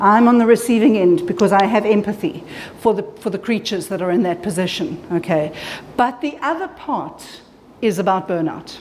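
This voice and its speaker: With noticeable background noise and audible room echo, a woman speaks in an animated tone at a medium pitch, with lively intonation and a moderate pace. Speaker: clinical psychologist presenter. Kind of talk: conference presentation. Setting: conference room with audience. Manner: loud.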